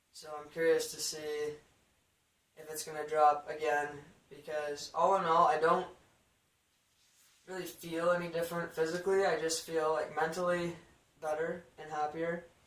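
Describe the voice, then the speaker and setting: Over audible room echo, a man with a fairly high pitch talks at a moderate pace in a monotone, flat intonation, his loudness swinging widely between long, frequent pauses. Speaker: vlogger. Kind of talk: video diary. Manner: casual, relaxed.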